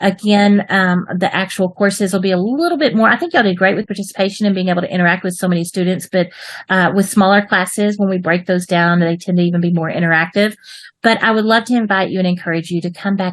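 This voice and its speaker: Speaking at a very fast pace, a woman uses a medium pitch. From Texas, US. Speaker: online English writing teacher. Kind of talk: online class for children. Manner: animated.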